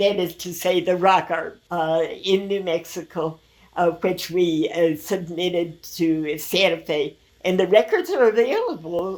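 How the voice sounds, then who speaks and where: A fairly low female voice with an American accent, fairly even intonation and a fairly slow pace, over noticeable background noise. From Minneapolis, Minnesota, USA. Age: 80s+. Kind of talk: interview answer. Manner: hesitant, many filler pauses.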